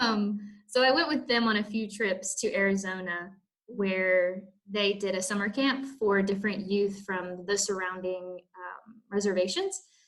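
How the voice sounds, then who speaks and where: At a fairly slow pace, a woman with a Southern US accent speaks at medium pitch with ordinary pitch variation. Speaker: missionary, interview guest. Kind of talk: interview.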